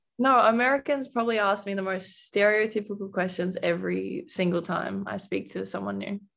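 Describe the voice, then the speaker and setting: A woman speaks in an Australian accent at a fairly quick pace. She hardly pauses at all. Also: very clean recording, silent background. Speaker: college basketball player. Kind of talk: interview.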